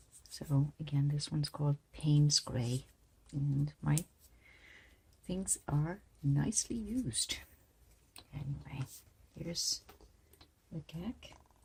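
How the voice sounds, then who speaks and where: Very deep and low in pitch, a woman's somewhat breathy voice moves at a very slow pace with ordinary pitch variation and long, frequent pauses. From outside the United States. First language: not English. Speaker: art teacher. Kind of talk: tutorial. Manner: casual.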